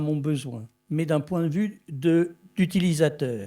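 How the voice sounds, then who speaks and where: A man with a fairly high voice and a dark, mellow tone uses ordinary pitch variation. The recording is very clean, with a silent background. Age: 70s. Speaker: filmmaker and technology developer. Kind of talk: conference presentation.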